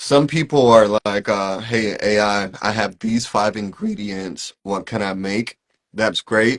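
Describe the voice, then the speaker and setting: With an American accent, the speaker talks at a very slow pace with fairly even intonation, the sound dry and close with no echo. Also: man, fairly low pitch for a man. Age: 30s. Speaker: AI consultant. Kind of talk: interview.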